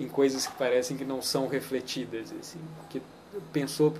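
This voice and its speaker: A man's medium-pitched voice in a Minas Gerais accent, with fairly even intonation, over noticeable background noise. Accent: Minas Gerais Brazilian Portuguese. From Minas Gerais, Brazil. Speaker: poet. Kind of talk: interview answer. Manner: unhurried, thoughtful, soft.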